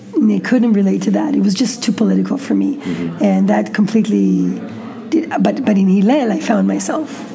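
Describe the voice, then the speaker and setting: A woman talks at a moderate pace with an Israeli accent. Noticeable background noise sits behind her. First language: Hebrew. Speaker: interview guest. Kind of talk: interview. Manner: halting.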